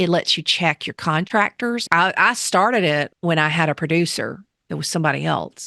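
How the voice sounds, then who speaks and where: With a Southern US accent, a woman speaks in a fairly low voice with a bright, sharp tone and vocal fry. Her pitch varies in an ordinary way, and the sound is dry and close with no echo. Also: moderate pace, quiet background. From US South. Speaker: teacher and podcast host. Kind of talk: interview.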